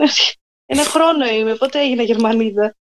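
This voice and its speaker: The recording has a dry, close sound with no echo, and the speech moves at a moderate pace. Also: woman. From southern Greece, Messinia (Methoni). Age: young. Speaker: guest. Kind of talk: casual interview chat.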